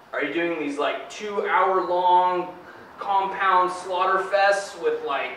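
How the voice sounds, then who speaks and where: A man talks in a high voice at a fairly slow pace. Light background noise and audible room echo are present. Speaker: personal trainer. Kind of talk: interview answer. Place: gym. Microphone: camera far.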